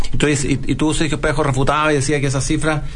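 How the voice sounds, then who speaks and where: Very fast, fairly even-toned delivery from a man with a fairly high pitch, with audible room echo and noticeable background noise. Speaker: radio host. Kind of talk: casual chat.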